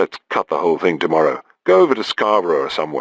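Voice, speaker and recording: A man's put-on character voice, raspy and very deep and low, at a very fast pace, in a dry, close sound with no echo. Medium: read story. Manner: casual, scornful, slangy.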